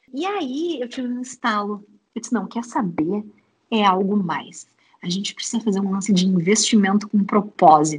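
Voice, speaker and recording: This woman speaks with a southern Brazilian accent at a moderate pace and medium pitch. Her tone is animated and somewhat breathy, with lively intonation. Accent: gaúcho Brazilian Portuguese. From Rio Grande do Sul, Uruguaiana. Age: 30s. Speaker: startup co-founder and HR lead. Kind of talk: interview conversation.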